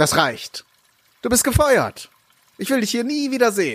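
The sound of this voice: A man does a put-on character voice at an extremely high pitch, with very wide pitch swings and a moderate pace. His fairly bright tone carries a slightly husky edge.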